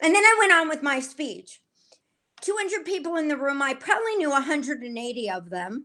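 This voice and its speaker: In a raised, projected voice, a woman talks at a fairly quick pace with a high pitch, a bright, sharp tone, very wide pitch swings and big swings in loudness. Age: 60s. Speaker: author. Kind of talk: interview.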